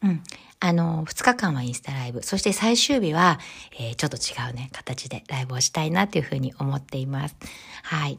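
Her pitch is very deep and low for a woman, and she talks at a fairly quick pace, somewhat breathy, with lively intonation and big swings in loudness. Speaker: podcast host, image consultant. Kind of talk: solo podcast talk.

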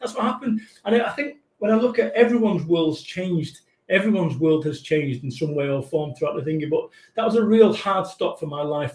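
Speaking at a fairly quick pace with a Mancunian accent, a man uses a high pitch and very wide pitch swings. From Manchester, northern England. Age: 40s. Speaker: motivational business speaker. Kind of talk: casual chat. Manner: energetic.

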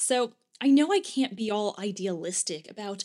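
Speaking with lively intonation, a woman has an ordinary speaking voice at medium pitch. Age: 30s. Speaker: podcast host, former lawyer turned writer. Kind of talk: solo podcast monologue.

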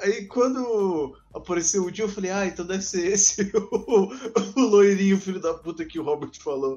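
Here a man speaks at a moderate pace. His pitch is high, with ordinary pitch variation. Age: 20s. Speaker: podcast co-host. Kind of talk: casual chat.

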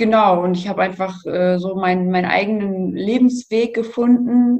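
A woman speaks at a fairly slow pace with a medium pitch and fairly even intonation. Hers is a normal speaking voice. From north-western Germany, near Münster. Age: 20s. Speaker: nurse and blogger with chronic illness. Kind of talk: interview, personal testimony.

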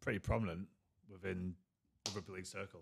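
A man races along at a very fast pace, captured on a very clean recording against a silent background. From England. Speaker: former rugby league player, podcast co-host. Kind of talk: casual chat.

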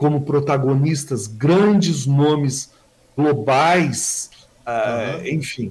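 This is a man with a fairly high pitch, ordinary pitch variation and an ordinary speaking voice. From Brazil, São Paulo state (Mogi das Cruzes). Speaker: journalist and social columnist. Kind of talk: casual interview.

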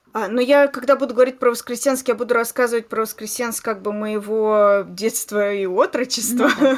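With a plain, everyday voice, a woman talks at a moderate pace and a fairly high pitch, her intonation fairly even and hardly any pauses. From Voskresensk, Moscow region, Russia. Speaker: podcast host. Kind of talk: casual chat.

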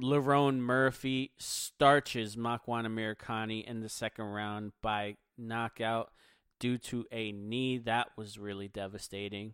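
A man with an American accent talks at medium pitch and a fairly slow pace. The sound is dry and close with no echo, on a very clean recording with a silent background. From Philadelphia, US. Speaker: MMA podcast host. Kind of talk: solo podcast commentary. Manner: energetic.

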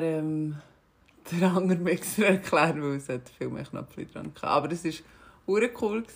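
This woman speaks with a Swiss accent at a fairly slow pace. Her pitch is fairly low, with ordinary variation. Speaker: podcast co-host and DJ. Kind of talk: casual chat.

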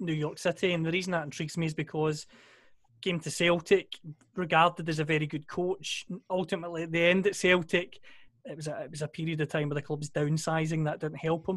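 Speaking very fast in a Scottish accent, a man with a high voice keeps a monotone, flat intonation. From Scotland. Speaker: podcast co-host. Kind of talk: casual chat.

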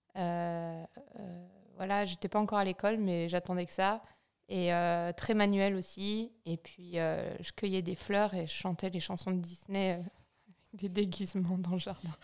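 Over a silent background on a very clean recording, a woman speaks at a fairly slow pace in a monotone, flat intonation. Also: medium pitch for a woman. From France, Vosges. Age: 30s. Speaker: brand co-founder. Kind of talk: casual interview.

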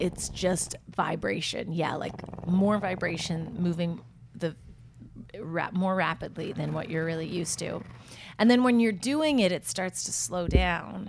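Against noticeable background noise, a woman talks fairly slowly at a fairly low pitch with ordinary pitch variation. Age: 30s. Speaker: podcast co-host. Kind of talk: casual chat.

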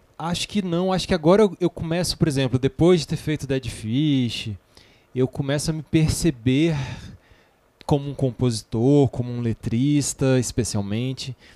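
With a dark, mellow tone and a fairly high pitch, a man talks at a moderate pace with ordinary pitch variation in a dry, close sound with no echo. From Brasília. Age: 40s. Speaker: musician and songwriter. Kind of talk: casual chat. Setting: studio.

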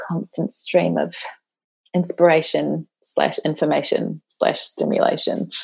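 A woman speaks at a fairly slow pace with a New Zealand accent. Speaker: women's life coach. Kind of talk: podcast interview. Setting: remote call.

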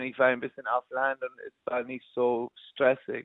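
Speaking at a moderate pace, a man uses a fairly high voice. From New York, US. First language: English (speaking German). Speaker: musician. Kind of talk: interview. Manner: halting.

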